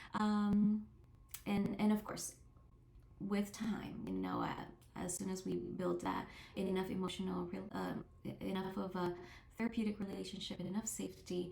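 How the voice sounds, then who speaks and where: Over noticeable background noise and audible room echo, a woman speaks at a moderate pace with long, frequent pauses. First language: not English. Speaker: therapist. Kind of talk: interview monologue. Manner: halting, many fillers and restarts.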